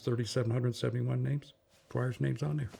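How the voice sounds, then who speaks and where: Very clean recording, silent background, carries a man's somewhat breathy voice. His pitch sits in the medium range. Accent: American. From Massachusetts (Boston). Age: 80s+. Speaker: war veteran. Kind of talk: oral history interview. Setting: at home.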